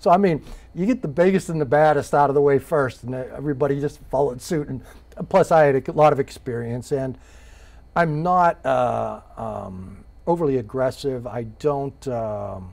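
Ordinary pitch variation marks this man's speech at a moderate pace. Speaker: interviewee. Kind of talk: interview answer. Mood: relaxed, amused storytelling. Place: studio. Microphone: lapel.

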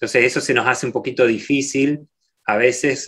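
The background is quiet. A man talks at a fairly quick pace. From Argentina, Rosario; Argentina. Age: 40s. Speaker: microbiology professor; guest. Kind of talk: Q&A talk; interview answer. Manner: halting, many repeated words. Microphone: video call.

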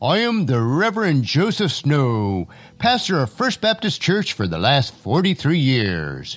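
Faint music plays behind a man doing a booming put-on character voice, fairly high in pitch, with very wide pitch swings at a fairly slow pace. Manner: booming, self-important.

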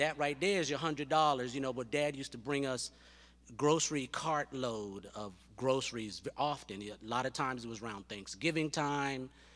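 The pace sits at a moderate level. A man is speaking, with ordinary pitch variation. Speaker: son of the deceased. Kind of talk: eulogy. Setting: church. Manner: halting. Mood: warm, earnest, grieving. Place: church. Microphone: podium.

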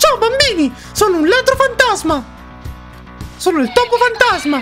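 Over clear background music, a put-on character voice at an extremely high pitch makes very wide pitch swings at a moderate pace. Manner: silly, cartoonish.

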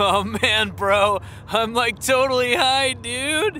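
A man puts on a character voice at an extremely high pitch, drawling at a fairly slow pace. Clear background noise sits behind him. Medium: cartoon. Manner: stoned, drawling slang.

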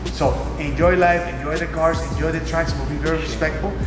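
A man at a very fast pace, with audible room echo and clear music in the background. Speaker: car collector host. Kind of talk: casual explanatory chat. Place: garage.

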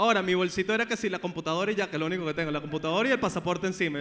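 Talking at a very fast pace, a man with a Venezuelan accent has an animated tone and lively intonation. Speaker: podcast host. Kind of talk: live comedy talk show with audience. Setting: live venue with audience. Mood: joking, playful banter. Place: stage. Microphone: handheld.

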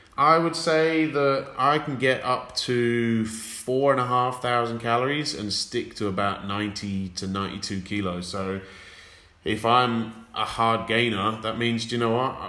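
A man's bright, sharp tone with an English accent and ordinary pitch variation. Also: medium pitch for a man. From England. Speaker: fitness coach. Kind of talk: casual chat.

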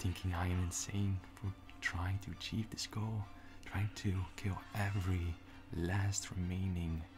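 A man's very deep, low voice, monotone and flat, at a fairly slow pace, with clear music in the background. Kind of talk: dramatic character monologue. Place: home room. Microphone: phone near.

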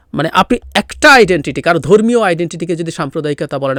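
A man speaks with lively intonation, the sound dry with no echo over a quiet background. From Bangladesh, Rangamati hill district; Bangladesh. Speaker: political commentator. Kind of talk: solo political commentary. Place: home room. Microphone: studio mic.

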